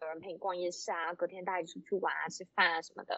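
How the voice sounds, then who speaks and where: Very fast speech from a woman at medium pitch. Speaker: accountant working abroad. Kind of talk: casual chat. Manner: halting, many fillers.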